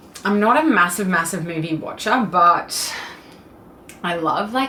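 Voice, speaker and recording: With audible room echo, a woman speaks at a very slow pace with fairly low pitch and ordinary pitch variation. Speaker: fitness vlogger. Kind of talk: casual Q&A vlog.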